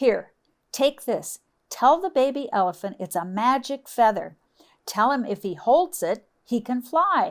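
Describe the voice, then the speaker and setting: Cackling in a high, put-on character voice, a woman speaks at a fairly slow pace in a very clean recording with a silent background. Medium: read story. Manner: cackling, cross.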